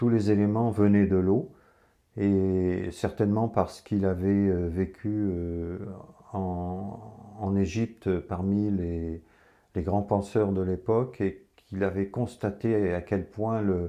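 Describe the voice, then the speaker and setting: A man's fairly low voice, very slow, in a flat monotone. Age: 70s. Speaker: water enthusiast presenter. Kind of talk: informal talk to camera. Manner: halting, many hesitations.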